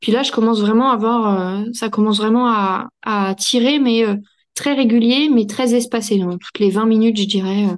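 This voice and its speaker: Her pitch fairly high, a woman talks at a moderate pace in an unremarkable speaking voice. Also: fairly even intonation. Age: 30s. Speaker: mother sharing birth story. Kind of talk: casual interview testimony.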